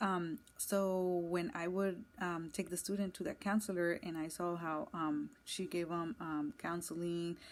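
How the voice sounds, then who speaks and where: In an American accent, a woman talks at a fairly slow pace with a fairly low pitch and fairly even intonation, with hardly any pauses. The recording is very clean, with a silent background. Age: 20s. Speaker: school counselor intern. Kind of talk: personal introduction monologue. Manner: hesitant, many fillers.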